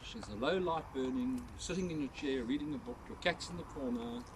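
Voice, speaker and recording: Over noticeable background noise, a man talks with lively intonation at a medium pitch. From South Africa, Port Elizabeth. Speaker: ghost tour guide. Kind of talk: guided tour talk to a group. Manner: animated.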